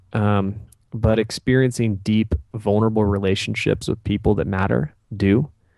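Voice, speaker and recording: A man at a moderate pace, with fairly even intonation, very even loudness and music in the background. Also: fairly low pitch for a man. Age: 30s. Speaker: entrepreneur. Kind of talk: interview. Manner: halting.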